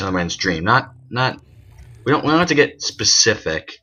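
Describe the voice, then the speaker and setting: Music plays in the background as a man speaks. His pitch is medium and his intonation lively. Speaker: gaming YouTuber. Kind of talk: let's play commentary. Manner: fast.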